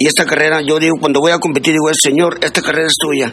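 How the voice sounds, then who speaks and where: A northern Mexican accent, flat monotone delivery, and noticeable background noise. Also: man. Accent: Juárez border Spanish. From northern Mexico border, Ciudad Juárez. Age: 60s. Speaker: amateur barefoot runner. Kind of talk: interview.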